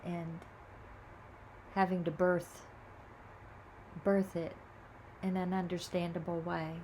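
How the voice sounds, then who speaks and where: A woman's fairly low, somewhat breathy voice, flat and monotone at a very slow pace, with audible room echo. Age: 70s. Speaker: video blogger sharing reflections. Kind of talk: casual spiritual monologue. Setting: home video recording. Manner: halting.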